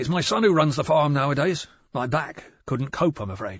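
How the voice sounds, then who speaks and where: In a put-on character voice, a man sounds raspy and fairly high-pitched, with lively intonation at a moderate pace. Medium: read story. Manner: abrupt, terse.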